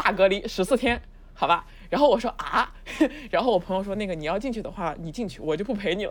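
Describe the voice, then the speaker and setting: A woman talks fairly quickly at a medium pitch with ordinary pitch variation. It is a plain, everyday voice. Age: 30s. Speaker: new media video director. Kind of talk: casual chat.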